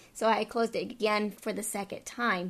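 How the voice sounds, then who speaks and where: In a normal speaking voice, a woman with an American accent talks at a fairly quick pace, her medium pitch following a fairly even intonation. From Texas, El Paso. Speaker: dating podcast host. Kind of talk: casual chat.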